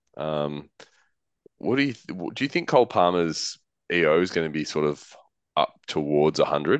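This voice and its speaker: In a quiet background with a dry, close sound and no echo, a man with a very deep, low pitch speaks at a moderate pace, using lively intonation and long, frequent pauses. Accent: Australian. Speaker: fantasy football podcast co-host. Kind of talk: casual chat.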